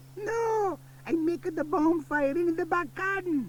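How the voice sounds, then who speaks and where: Putting on a character voice, a man speaks at an extremely high pitch against clear background noise. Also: moderate pace. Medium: read story. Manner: warm, emphatic.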